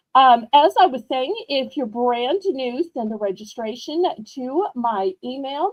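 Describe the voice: With a strong Southern US accent, a woman talks fairly slowly in a high voice with lively intonation. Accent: thick Southern American.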